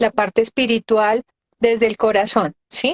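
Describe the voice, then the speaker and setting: Using an ordinary speaking voice, a woman talks at a fairly slow pace. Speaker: integrative physician and medical astrologer. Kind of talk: live interview explanation.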